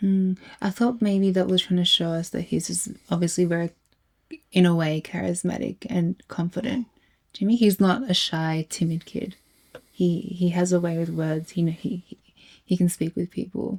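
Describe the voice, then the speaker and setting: Somewhat breathy and fairly low in pitch, a woman speaks with fairly even intonation in a dry, close sound with no echo. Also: moderate pace. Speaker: reaction video co-host. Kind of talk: casual chat. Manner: halting, stutters.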